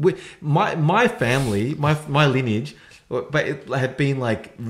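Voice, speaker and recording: A man with an Australian accent talks at a fairly slow pace, his voice somewhat breathy. His pitch is fairly high and his intonation lively. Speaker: podcast co-host. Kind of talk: casual chat.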